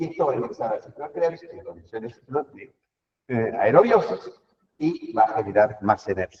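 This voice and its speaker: Moderately paced male speech with big swings in loudness. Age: 60s. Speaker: professor. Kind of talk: lecture.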